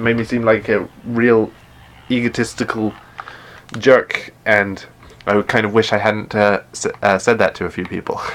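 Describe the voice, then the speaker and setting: Flat, monotone delivery in an English accent at a moderate pace, broken by long, frequent pauses. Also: man. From England. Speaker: gaming streamer. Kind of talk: live stream gameplay chat. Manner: hesitant, many fillers and restarts.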